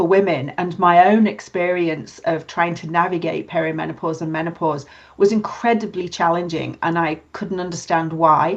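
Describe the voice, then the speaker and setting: Against a quiet background, a woman with a British accent speaks at a fairly low pitch with ordinary pitch variation. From UK. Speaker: podcast co-host, nurse and HR manager. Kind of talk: casual chat.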